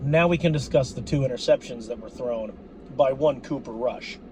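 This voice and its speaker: With an animated tone, a man talks at a moderate pace against noticeable background noise. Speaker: sports fan commentator. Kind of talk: game recap rant. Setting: apartment.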